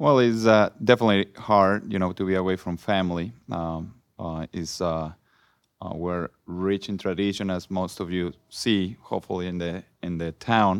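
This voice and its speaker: A man speaks with a very deep, low pitch at a moderate pace. His intonation is fairly even and the background quiet. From Mexico. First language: Spanish. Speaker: former soccer player. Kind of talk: panel discussion. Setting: stage with audience.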